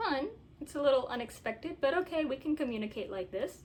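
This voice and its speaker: A woman's voice with very wide pitch swings. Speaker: video blogger. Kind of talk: personal vlog monologue. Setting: filming in own bedroom. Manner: halting, disjointed; measured, thinks before speaking.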